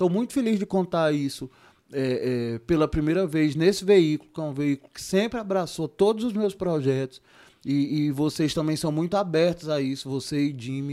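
A man with a dark, mellow tone and fairly high pitch speaks at a moderate pace with ordinary pitch variation on a very clean recording with a silent background. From Ceará, Brazil (Juazeiro do Norte, Cariri). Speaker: theatre producer. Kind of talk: casual interview.

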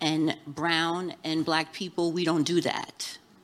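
Here a woman has an unremarkable speaking voice. Her pitch sits fairly low. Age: 50s. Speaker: content creator. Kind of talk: live panel discussion. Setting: live event with audience.

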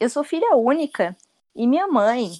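A woman with a high-pitched voice speaks at a fairly slow pace, her pitch swinging very widely, in a dry, close sound with no echo. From Rio Grande do Sul. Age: 20s. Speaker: designer and content creator. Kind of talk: casual chat. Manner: talkative.

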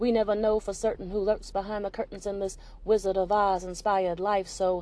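A woman at a fairly quick pace, medium in pitch, a plain, everyday voice. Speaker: poet and podcast host. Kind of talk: performed spoken-word poetry. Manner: earnest, rhythmic, preacher-like delivery.

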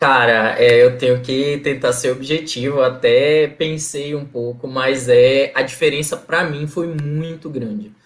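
A man with an ordinary speaking voice talks at a fairly slow pace with hardly any pauses, in a fairly high pitch and fairly even intonation. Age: 30s. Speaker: NGO governance analyst, former scholarship student. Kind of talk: casual interview.

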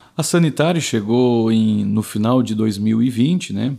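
The man speaks at a medium pitch with a dark, mellow tone. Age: 30s. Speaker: municipal public services manager, former city councillor. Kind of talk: interview.

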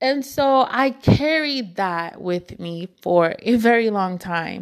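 A woman speaks very slowly at a fairly high pitch. Her intonation is lively. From Nigerian household. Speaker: podcast host. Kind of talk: casual solo chat. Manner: soft-spoken; conversational, laughs often.

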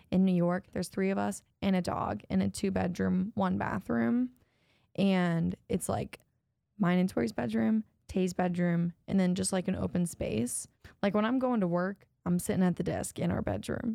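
A woman with an American accent speaks at a moderate pace, fairly low in pitch and dark, mellow in tone. Her pitch swings very widely, and the sound is dry and close with no echo. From Ohio, US Midwest. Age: 20s. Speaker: podcast co-host. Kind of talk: casual chat.

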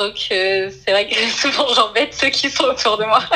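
Noticeable background noise runs under this recording. A woman with a high voice speaks at a fairly slow pace. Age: 20s. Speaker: illustrator and storyboard artist. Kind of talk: interview.

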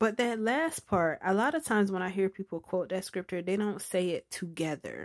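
A woman at medium pitch speaks at a moderate pace in an animated tone with lively intonation. The sound is dry and close with no echo, on a very clean recording with a silent background. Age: 30s. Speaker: faith and relationships podcaster. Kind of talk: casual monologue with testimony and prayer.

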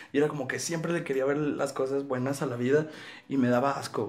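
A man talks over noticeable background noise, with audible room echo around his voice. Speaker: podcast host. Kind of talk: casual chat. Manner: animated.

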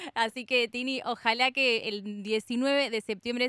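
Her voice is fairly high, bright and sharp, delivered in a flat monotone with a dry, close sound and no echo. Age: 20s. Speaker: radio host. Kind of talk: radio interview.

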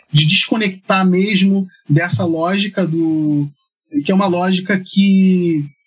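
Speaking very slowly, a man uses a high pitch with fairly even intonation. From Rio de Janeiro, Brazil. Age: 50s. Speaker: anthropologist and church researcher. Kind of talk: interview conversation. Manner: hesitant, many fillers.

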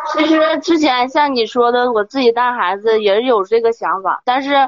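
Her pitch high and its variation ordinary, a woman talks at a moderate pace. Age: 20s. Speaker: caller. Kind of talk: personal account on advice call. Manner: halting.

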